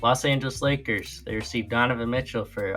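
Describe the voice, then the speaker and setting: A man talks fairly quickly, his pitch varying in an ordinary way, as music plays in the background. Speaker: YouTube basketball commentator. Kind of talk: casual reaction commentary. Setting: outdoors. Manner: casual, with filler words.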